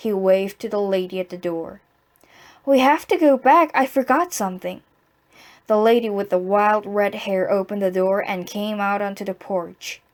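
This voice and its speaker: On a very clean recording with a silent background, a woman speaks at a moderate pace at medium pitch with ordinary pitch variation. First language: Korean. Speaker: amateur reader practicing English reading aloud. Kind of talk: reading aloud. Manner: halting, stumbling and repeating words.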